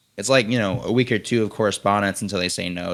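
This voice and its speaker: The recording is very clean with a silent background. A man with an American accent and fairly low pitch talks at a very fast pace. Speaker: film student and director. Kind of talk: interview.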